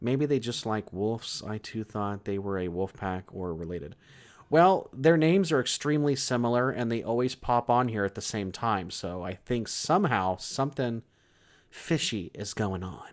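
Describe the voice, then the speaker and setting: A man with an American accent speaks at a medium pitch with lively intonation, in an ordinary speaking voice. The recording is very clean with a silent background. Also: moderate pace. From California. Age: 30s. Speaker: horror story channel host. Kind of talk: livestream chat reading viewer comments. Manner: casual, relaxed.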